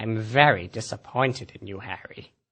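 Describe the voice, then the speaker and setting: Doing a put-on character voice, a man holds a medium pitch at a moderate pace. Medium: stage play.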